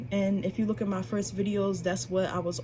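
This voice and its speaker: Through noticeable background noise, a woman talks at a very fast pace and a medium pitch. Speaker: spiritual YouTuber and tarot reader. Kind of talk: casual vlog talk. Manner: casual, unscripted.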